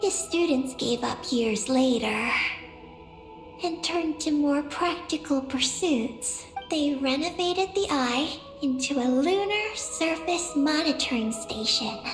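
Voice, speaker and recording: A high, female-sounding put-on character voice speaks at a fairly slow pace over clear music in the background. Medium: game stream. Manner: calm, literal, slightly halting.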